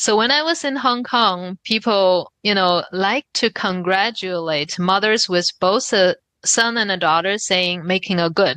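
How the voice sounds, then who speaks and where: With a Chinese accent, the speaker talks at a fairly slow pace with lively intonation and a bright, sharp tone. The sound is dry and close with no echo, over a quiet background. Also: woman. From China, Shanghai. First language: Mandarin Chinese. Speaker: novelist. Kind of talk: interview. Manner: thoughtful, with fillers.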